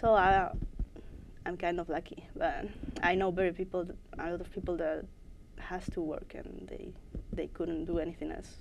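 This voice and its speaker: A woman speaks in a Spanish accent at a moderate pace, with long, frequent pauses. Audible room echo surrounds her voice. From Spain, Madrid. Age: 20s. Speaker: esports player. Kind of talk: interview. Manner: halting.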